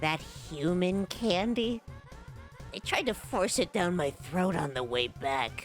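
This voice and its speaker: A put-on character voice at a middle pitch moves at a fairly slow pace over clear music in the background. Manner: sarcastic, bitter.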